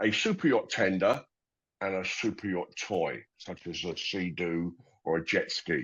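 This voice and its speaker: A man speaks with a London accent. His delivery is fairly slow. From London, England. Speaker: company founder. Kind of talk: interview. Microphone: connection cut out.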